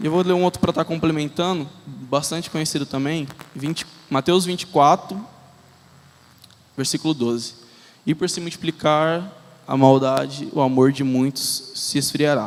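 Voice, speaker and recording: A man talks at a fairly high pitch. His speech has long, frequent pauses. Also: ordinary pitch variation. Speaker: lay preacher. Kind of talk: sermon. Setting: church with congregation. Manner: fast.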